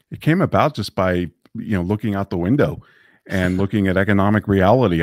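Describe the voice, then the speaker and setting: A man's very deep, low voice with ordinary pitch variation, dry with no echo, in a quiet background. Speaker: interview guest. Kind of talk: interview answer. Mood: relaxed, friendly. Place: home room. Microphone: studio mic.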